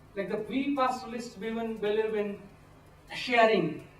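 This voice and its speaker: A man speaks with a high pitch and ordinary pitch variation at a moderate pace. Noticeable background noise and audible room echo surround him. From India. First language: not English. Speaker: pastoralist community advocate. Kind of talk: workshop talk. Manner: halting.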